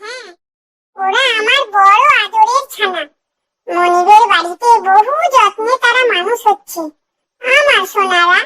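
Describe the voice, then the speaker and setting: This cartoonish character voice is squeaky and extremely high-pitched, and it moves at a very slow pace. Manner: snappy, dismissive.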